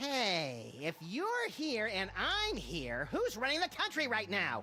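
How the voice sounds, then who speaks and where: Someone puts on a character voice, fairly high in pitch and fairly slow, with clear background noise behind it. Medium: video game. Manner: sarcastic.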